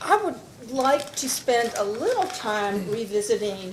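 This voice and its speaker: A woman speaks at a fairly slow pace with ordinary pitch variation. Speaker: staff attorney. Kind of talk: witness cross-examination.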